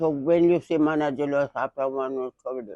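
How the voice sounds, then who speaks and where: With a Jamaican accent, a woman talks at a fairly slow pace in a very deep, low voice with a dark, mellow tone. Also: dry, close sound with no echo. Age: 80s+. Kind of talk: interview answer.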